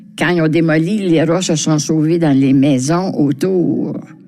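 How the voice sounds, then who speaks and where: Against noticeable background noise, a woman talks at a fairly slow pace with a fairly low pitch. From Quebec, Montreal (Villeray). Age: 90s. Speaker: senior resident sharing memories. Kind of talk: personal reminiscence.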